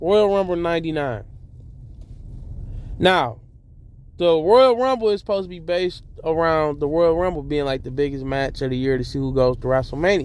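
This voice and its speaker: Pausing long and often, a man with a fairly high pitch speaks at a moderate pace with lively intonation. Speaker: wrestling commentary YouTuber. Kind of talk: casual monologue.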